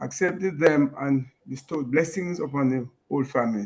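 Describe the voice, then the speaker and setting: In an ordinary speaking voice, a man talks at a fairly high pitch. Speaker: class participant. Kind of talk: reading aloud. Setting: video call.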